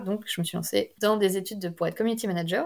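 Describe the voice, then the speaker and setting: The recording of this woman is very clean, and the background is completely silent. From Brittany, France. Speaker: novelist. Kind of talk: interview.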